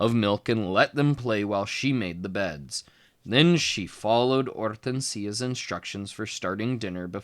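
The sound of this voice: In an unforced reading voice, the pitch shifts in an ordinary way.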